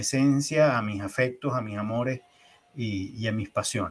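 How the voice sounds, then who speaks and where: Here a man talks at a fairly slow pace. He has a normal speaking voice. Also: very clean recording, silent background. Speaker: leadership trainer. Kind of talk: interview.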